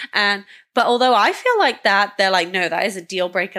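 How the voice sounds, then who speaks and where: With a Welsh accent, a woman speaks at a fairly quick pace in a medium pitch, her tone bright and sharp with ordinary pitch variation. The recording is very clean, with a silent background. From Wales, UK. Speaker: matchmaking team member. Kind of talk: casual chat.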